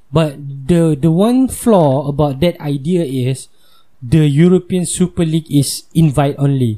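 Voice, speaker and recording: Somewhat breathy and dark, mellow in tone, a man's fairly high voice moves at a fairly slow pace with ordinary pitch variation and very even loudness. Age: 20s. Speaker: podcast host. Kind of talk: angry rant. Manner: furious, swearing, emphatic; banter-filled and joking.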